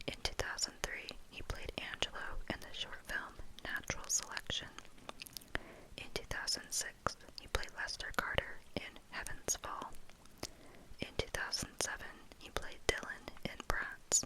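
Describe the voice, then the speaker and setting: Someone whispers at a fairly slow pace, leaving long, frequent pauses. Background noise is noticeable throughout. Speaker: ASMR content creator. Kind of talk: whispered ASMR wiki read. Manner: whispered, soft, relaxing.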